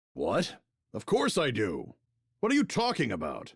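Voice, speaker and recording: Putting on a character voice, a man keeps to a moderate pace. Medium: game stream.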